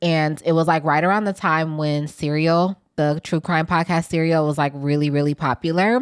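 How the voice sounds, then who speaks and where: Recorded very cleanly against a silent background, the speaker uses an American accent, fairly even intonation and very even loudness at a moderate pace with hardly any pauses. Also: woman, very deep, low pitch for a woman. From US Midwest, Milwaukee. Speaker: podcast producer. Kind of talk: interview.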